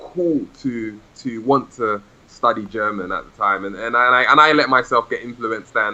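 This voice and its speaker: Speaking at a fairly slow pace with hardly any pauses, a man talks in a London accent. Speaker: language learner and podcast host. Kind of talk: interview. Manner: hesitant, many repetitions.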